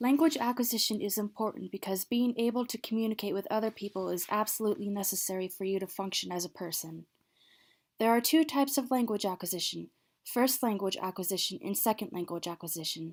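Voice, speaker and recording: In a very clean recording with a silent background, a soft-spoken woman talks at a very fast pace. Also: medium pitch for a woman, ordinary pitch variation. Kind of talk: educational presentation.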